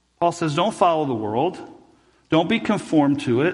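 There is audible room echo as a man speaks in a high voice. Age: 40s. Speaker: pastor. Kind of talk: sermon. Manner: halting.

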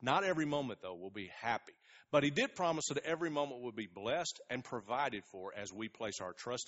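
In a plain, everyday voice, a man speaks at a fairly quick pace with lively intonation. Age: 40s. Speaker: pastor. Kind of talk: sermon.

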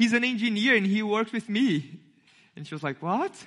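In a Brazilian accent, a man projects a raised voice with a bright, sharp tone, high pitch, and lively intonation. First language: Portuguese. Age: 20s. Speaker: young church intern giving a sermon. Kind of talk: sermon. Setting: church.

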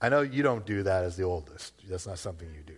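A somewhat breathy man with an American accent, fairly low pitch and lively intonation, over a quiet background. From Massachusetts, Worcester. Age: 40s. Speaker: pastor. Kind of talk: sermon. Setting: church.

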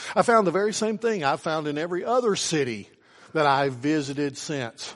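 Speaking in an Appalachian accent, a man with a fairly high pitch uses lively intonation. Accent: Appalachian Southern US. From US South, southwestern Virginia. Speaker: pastor. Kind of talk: sermon. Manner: halting, many fillers and repeats.

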